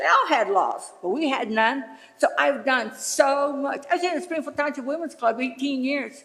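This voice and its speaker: A woman speaks with a high pitch and an American accent. Noticeable background noise can be heard. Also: ordinary pitch variation, moderate pace. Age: 70s. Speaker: resident speaking at public comment. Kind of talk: public comment at a township meeting. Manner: animated.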